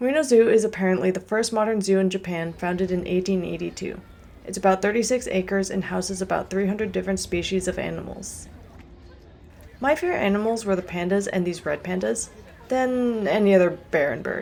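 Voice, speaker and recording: A soft-spoken woman talks at a medium pitch and a fairly quick pace. Her pitch varies in an ordinary way. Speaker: travel vlogger. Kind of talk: scripted narration.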